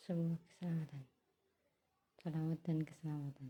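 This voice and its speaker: Quiet and somewhat breathy, a woman's voice carries a dark, mellow tone with fairly even intonation. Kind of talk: casual talk to camera, religious musing.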